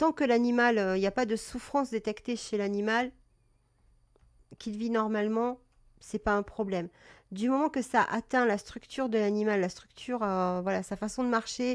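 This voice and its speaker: A woman's fairly high voice in a calm tone, at a moderate pace, with ordinary pitch variation and long, frequent pauses. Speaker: cat breeder and live-stream presenter. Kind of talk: live stream talk about cat health. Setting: live stream. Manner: hesitant, many fillers.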